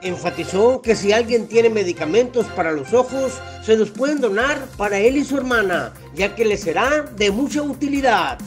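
Music plays behind a voice that keeps a moderate pace. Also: man, high pitch for a man, lively intonation. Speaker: news reporter. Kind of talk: news report narration.

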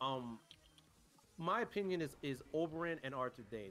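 Faint music plays in the background as a man speaks with ordinary pitch variation. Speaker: streamer. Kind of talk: casual chat. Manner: animated; argumentative tone. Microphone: headset.

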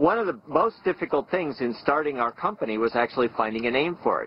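Light background noise accompanies a dry sound that has no echo. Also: man. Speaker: company founder interviewee. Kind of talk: documentary interview. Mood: calm, matter-of-fact.

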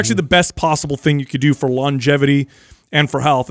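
Against a quiet background, a man's voice comes through with a dry sound and no echo. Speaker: podcast co-host answering fitness questions. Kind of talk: podcast Q&A talk. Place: studio. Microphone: studio mic.

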